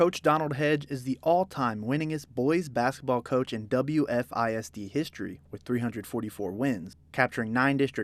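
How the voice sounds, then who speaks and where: In an ordinary speaking voice, a man of medium pitch talks at a fairly quick pace with hardly any pauses and lively intonation, captured in a very clean recording with a silent background. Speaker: sports reporter. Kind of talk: news package narration.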